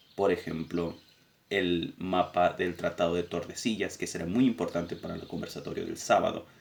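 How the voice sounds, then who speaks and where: Moderate pace from a man, his loudness swinging widely. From Argentina. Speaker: political education teacher. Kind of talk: lecture summary.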